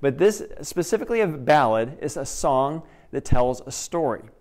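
The setting is quiet behind the voice. The speaker is a man. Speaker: preacher. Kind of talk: sermon. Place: church. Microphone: headset.

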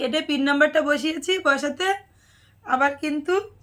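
A woman with a high pitch speaks in a monotone, flat intonation. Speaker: vlogger and sari shop owner. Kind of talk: casual vlog talk to camera.

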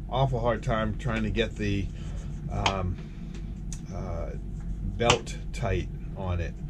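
Loud background noise beneath a male speaker. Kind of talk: casual vlog chat. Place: boat. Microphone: phone near.

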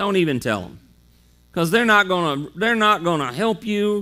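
The man's raised, projected voice has a bright, sharp tone and moves at a fairly quick pace. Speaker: preacher. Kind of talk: sermon. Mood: earnest, encouraging. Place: church.

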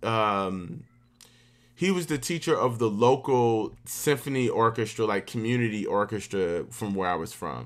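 A man speaks with an American accent. His intonation is lively. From US South. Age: 30s. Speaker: orchestral oboist; guest. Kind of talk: workshop talk. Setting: video call. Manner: casual. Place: home room.

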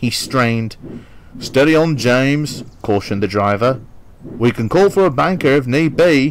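What we hear is plain reading aloud.

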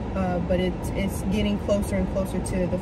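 A woman speaks at a moderate pace. Loud background noise runs beneath her voice. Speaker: vlogger. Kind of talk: casual vlog chat. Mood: nostalgic, upbeat. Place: car.

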